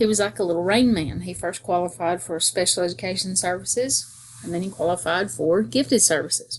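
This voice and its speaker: A woman's strong Southern US accent, fairly quick, with very wide pitch swings and vocal fry. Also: fairly low pitch for a woman. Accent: strong southern accent, very country. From US South, North Georgia. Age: 50s. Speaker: school teacher. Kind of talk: self-introduction monologue. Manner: casual, conversational.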